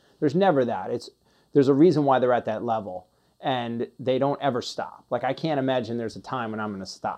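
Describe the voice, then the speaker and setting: Talking at a very fast pace, a man with a medium pitch and a dark, mellow tone shows ordinary pitch variation. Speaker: podcast host. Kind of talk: interview. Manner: halting.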